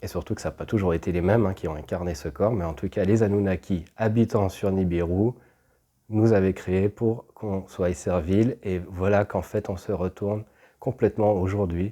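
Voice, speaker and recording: Very deep and low, a man's dark, mellow voice moves at a moderate pace with fairly even intonation in a very clean recording with a silent background. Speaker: spiritual channeler, video host. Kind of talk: casual spiritual monologue to camera. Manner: halting, repeats words.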